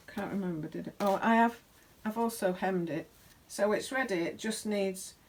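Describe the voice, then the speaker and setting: A woman speaks in a British accent. Her medium-pitched voice keeps a moderate pace. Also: ordinary pitch variation. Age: 60s. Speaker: sewing vlogger. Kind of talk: casual chat. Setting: home sewing workshop. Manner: halting.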